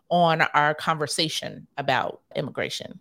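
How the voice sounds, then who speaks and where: This woman has an ordinary speaking voice, fairly low in pitch, at a moderate pace. The recording is very clean with a silent background. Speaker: radio host and political strategist. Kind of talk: radio interview.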